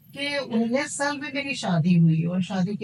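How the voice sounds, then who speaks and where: A woman's voice at a moderate pace, lively in intonation, with noticeable background noise. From India. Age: 50s. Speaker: tarot card reader. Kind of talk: podcast interview.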